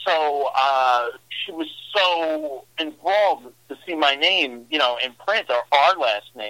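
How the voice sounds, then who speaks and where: Very slow in pace, a man talks with a New York accent. His pitch is fairly high and his intonation lively. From New York, Brooklyn. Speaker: horror author. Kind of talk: interview.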